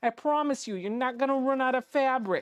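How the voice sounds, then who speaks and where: The voice sounds female and is pitched high. It is a put-on character voice. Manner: reassuring.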